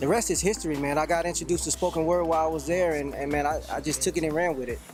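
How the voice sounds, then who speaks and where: Music plays in the background as a man with an American accent speaks with fairly even intonation. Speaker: spoken word poet; army veteran. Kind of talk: interview answer. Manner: casual, friendly.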